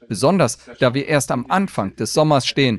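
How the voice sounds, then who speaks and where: In an ordinary speaking voice, a man talks at a fairly quick pace with medium pitch and lively intonation, the sound dry and close with no echo on a very clean recording with a silent background. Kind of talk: news reading. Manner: measured, crisp, even-paced German newsreader delivery.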